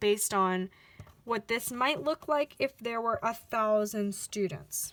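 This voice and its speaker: Bright and sharp in tone, the voice moves at a fairly slow pace with ordinary pitch variation in a very clean recording with a silent background. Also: woman. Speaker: math teacher. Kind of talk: recorded lesson.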